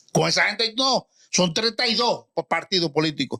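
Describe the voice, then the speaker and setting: With a bright, sharp tone and a high pitch, a man speaks fairly slowly in an animated way with lively intonation, the sound dry and close with no echo. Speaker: retired general, political commentator. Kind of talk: heated debate.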